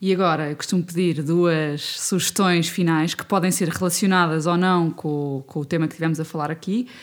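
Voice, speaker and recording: Hardly any pauses break up this woman's speech. She talks at a moderate pace in a fairly low pitch with fairly even intonation. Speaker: podcast host. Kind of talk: interview. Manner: halting.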